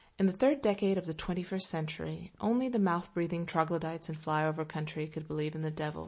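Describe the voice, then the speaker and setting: A woman with a plain, everyday voice talks at a fairly low pitch, with ordinary pitch variation. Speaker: essay narrator. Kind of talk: reading aloud an opinion essay, audiobook-style. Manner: dry, sardonic, wry.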